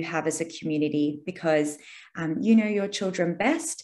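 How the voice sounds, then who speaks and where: The speaker uses a plain, everyday voice at a moderate pace with ordinary pitch variation. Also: woman. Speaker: speech and language researcher. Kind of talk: webinar presentation. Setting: online webinar.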